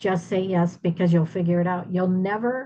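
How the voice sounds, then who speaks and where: This woman has a dark, mellow tone. Her delivery is somewhat breathy, with fairly even intonation. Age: 60s. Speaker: relocation business owner. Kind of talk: presentation to a business group.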